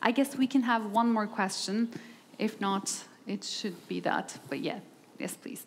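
Speaking at a fairly slow pace with a Turkish accent, a woman shows vocal fry over light background noise. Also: ordinary pitch variation. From Turkey. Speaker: journalist and panel moderator; journalist, panel moderator. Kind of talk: panel moderation. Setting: stage with audience. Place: hall. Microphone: headset.

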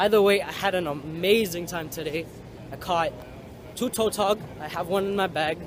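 At a moderate pace, a man speaks with fairly even intonation in a dry sound with no echo, while noticeable background noise carries on. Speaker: fishing vlogger. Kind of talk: casual vlog chat. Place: street. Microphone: phone near.

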